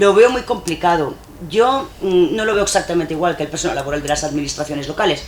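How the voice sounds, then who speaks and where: Very fast speech over noticeable background noise. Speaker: public official or trade union leader. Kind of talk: panel discussion. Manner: halting.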